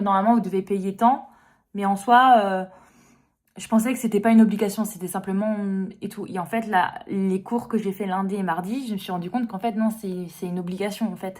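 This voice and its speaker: With a French accent, a woman of medium pitch speaks at a moderate pace and with fairly even intonation. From France. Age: young. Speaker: lifestyle vlogger. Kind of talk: vlog monologue. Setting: restaurant toilets. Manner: hesitant, many fillers.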